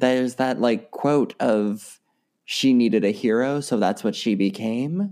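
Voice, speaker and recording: Speaking fairly slowly with an American accent, a man has a normal speaking voice, medium pitch, ordinary pitch variation and very even loudness. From US East Coast. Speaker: actor, singer and comedian. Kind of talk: casual interview. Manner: laughs often.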